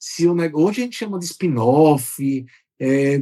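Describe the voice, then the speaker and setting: Fairly high pitch from a man, with ordinary variation in pitch. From Brazil, Aracaju, Sergipe (Northeast). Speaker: software company executive. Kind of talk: podcast interview.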